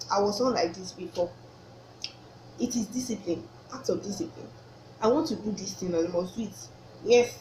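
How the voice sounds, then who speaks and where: A woman with a Nigerian accent talks at a fairly quick pace with lively intonation and long, frequent pauses, over noticeable background noise. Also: medium pitch for a woman. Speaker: vlogger. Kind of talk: casual faith talk to camera. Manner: halting, self-correcting.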